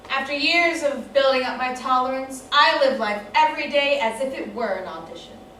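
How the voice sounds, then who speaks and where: A woman's high, raised and projected voice with lively intonation over noticeable background noise. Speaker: stage performer. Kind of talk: one-woman theatre monologue. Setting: live theatre stage. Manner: charming, engaging; polished rage.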